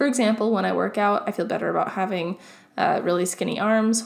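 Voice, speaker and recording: Ordinary pitch variation runs through speech marked by vocal fry. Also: woman. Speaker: YouTuber. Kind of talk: casual vlog monologue.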